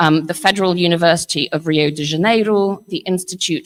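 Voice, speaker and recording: A woman with an English accent talks at a fairly quick pace and with ordinary pitch variation. The sound is dry and close, with no echo. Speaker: panel moderator, head of a futures organisation. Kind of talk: conference panel introduction. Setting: conference hall with audience, livestreamed.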